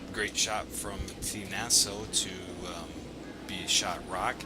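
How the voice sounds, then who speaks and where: A man with an American accent talks at a very slow pace. Music plays in the background. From Milwaukee area, Wisconsin. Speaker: curling commentator. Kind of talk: live sports commentary.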